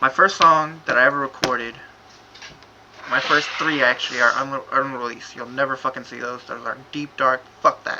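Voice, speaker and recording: A man speaks at medium pitch and a moderate pace with fairly even intonation and big swings in loudness, over noticeable background noise. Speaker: amateur rapper. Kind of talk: casual vlog explanation. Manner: halting.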